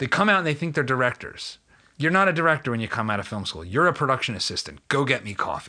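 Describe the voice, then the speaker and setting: Very fast and full of vocal fry, a man with an American accent talks at a medium pitch with very wide pitch swings and a bright, sharp tone. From Philadelphia. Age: 40s. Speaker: podcast host. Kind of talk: interview.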